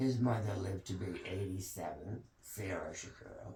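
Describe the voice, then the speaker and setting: Through audible room echo, a man speaks with a very deep, low pitch, a dark, mellow tone and a somewhat breathy quality. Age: 80s+. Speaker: family elder telling family history. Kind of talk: oral history interview. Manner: halting.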